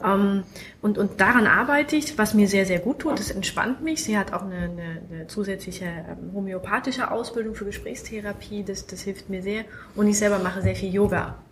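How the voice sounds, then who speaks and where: Her medium-pitched voice shows big swings in loudness and ordinary pitch variation as the woman talks at a fairly quick pace, with noticeable background noise and audible room echo. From Munich. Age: 30s. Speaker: self-help group member, patient. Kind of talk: casual chat. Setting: at a medical conference. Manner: halting, many fillers.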